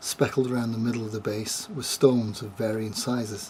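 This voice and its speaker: A man with a northern English accent, medium pitch and monotone, flat intonation, over noticeable background noise. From northern England (Glossop, Derbyshire). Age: 60s. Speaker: storyteller giving a religious testimony. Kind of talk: testimony.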